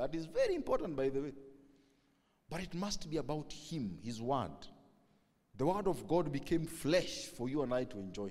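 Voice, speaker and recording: A man with a Kenyan accent and vocal fry, speaking at a moderate pace. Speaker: pastor. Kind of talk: sermon. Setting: church. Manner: loud.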